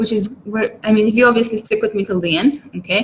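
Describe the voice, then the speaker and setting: This woman's somewhat breathy voice keeps a fairly even intonation. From Malta. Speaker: online marketer. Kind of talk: webinar presentation. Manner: hesitant, many fillers.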